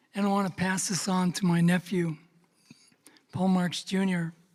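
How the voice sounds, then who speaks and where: The man's voice is high-pitched, his intonation monotone and flat. He speaks at a moderate pace. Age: 70s. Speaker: veteran and dance group elder. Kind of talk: farewell speech.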